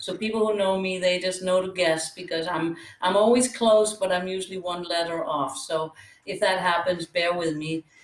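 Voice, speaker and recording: Here a woman talks at a moderate pace in a medium pitch. Noticeable noise sits in the background. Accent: Danish. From Denmark. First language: Danish. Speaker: pickleball coach and former tennis pro. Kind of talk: interview.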